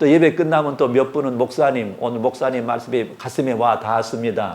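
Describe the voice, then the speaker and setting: This man has a normal speaking voice. He talks at a fairly quick pace with ordinary pitch variation. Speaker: retired pastor, guest preacher. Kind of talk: sermon. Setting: church service with congregation.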